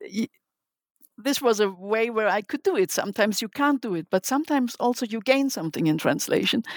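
A woman with a German accent at a fairly high pitch and a moderate pace, lively intonation, long, frequent pauses and a dry, close sound with no echo. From Germany. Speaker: literary translator. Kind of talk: interview. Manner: halting.

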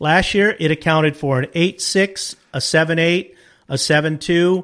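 A man with a fairly high pitch speaks at a fairly slow pace on a very clean recording with a silent background. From Southern California, Wilmington/San Pedro area. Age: 60s. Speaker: fishing charter captain. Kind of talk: casual interview.

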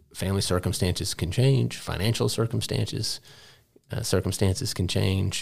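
In an American accent, a man with a very deep, low pitch and vocal fry talks at a fairly quick pace, his pitch swinging very widely. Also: very clean recording, silent background. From Texas, Dallas. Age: 50s. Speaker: head of school. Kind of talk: interview.

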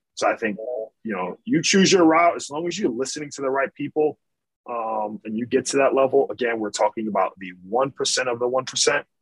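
An ordinary speaking voice, fairly quick and lively in intonation, with a dry, close sound and no echo. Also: man, medium pitch for a man. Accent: American. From Michigan. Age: 30s. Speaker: basketball coach. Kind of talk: casual chat.

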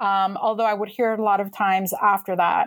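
On a very clean recording with a silent background, a woman speaks with a Californian accent. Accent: Californian American. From suburban Los Angeles. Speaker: history professor and author. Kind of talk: interview.

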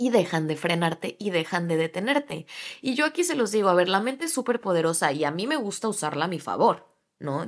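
On a very clean recording with a silent background, a woman speaks at a medium pitch and a moderate pace. Her tone is animated, with very wide pitch swings. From Latin America. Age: 20s. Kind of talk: solo podcast monologue.

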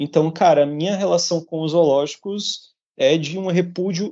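Here a man talks at a moderate pace. His pitch is high. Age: 30s. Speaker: podcast co-host, vegan activist. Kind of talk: casual chat. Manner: animated.

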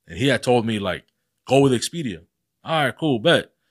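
A man with lively intonation at a fairly quick pace, on a very clean recording with a silent background. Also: dry, close sound with no echo. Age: 30s. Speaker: podcast host. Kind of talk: casual chat.

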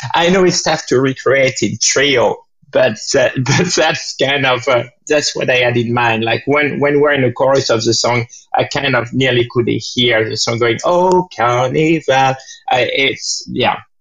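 The pace here is fairly slow. It is a man talking in a French accent. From France. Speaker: jazz pianist and composer. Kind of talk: interview. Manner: halting.

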